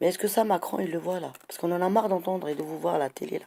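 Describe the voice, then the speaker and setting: At a very fast pace, a woman talks with a fairly low pitch. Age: 60s. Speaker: citizen vlogger. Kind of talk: monologue complaint. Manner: animated.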